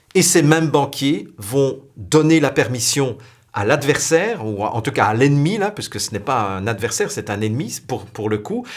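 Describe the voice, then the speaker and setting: Her pitch aside, this is a man whose voice leaps through very wide swings at a middling tempo. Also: medium pitch for a man. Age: younger than 60. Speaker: spiritual video blogger. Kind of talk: spiritual talk to camera.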